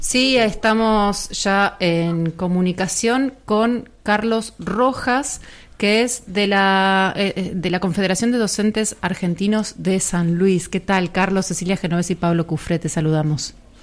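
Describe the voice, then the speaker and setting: On a very clean recording with a silent background, a woman at medium pitch speaks at a very slow pace with hardly any pauses, very even loudness and ordinary pitch variation. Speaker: radio host. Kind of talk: radio interview.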